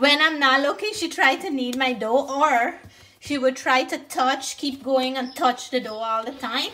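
A woman speaks in a raised, projected voice at a fairly slow pace. Her pitch varies in an ordinary way. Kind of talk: casual cooking tutorial chat. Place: kitchen. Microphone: phone near.

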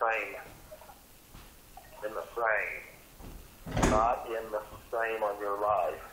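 A man with a fairly low pitch and a bright, sharp tone speaks amid audible room echo.

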